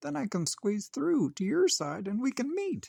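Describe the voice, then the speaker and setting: A man's put-on character voice, high-pitched, at a moderate pace, with a dry, close sound and no echo. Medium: read story. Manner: warm, upbeat.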